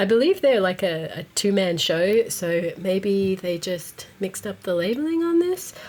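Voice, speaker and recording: A woman's plain, everyday voice at medium pitch, with ordinary pitch variation. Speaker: stationery reviewer. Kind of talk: casual talk to camera.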